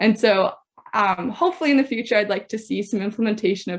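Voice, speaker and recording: A woman with a Canadian accent, a plain, everyday voice, fairly high pitch, ordinary pitch variation and a fairly quick pace. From western Canada, Saskatoon. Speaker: university student, patient speaker. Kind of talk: personal testimony talk.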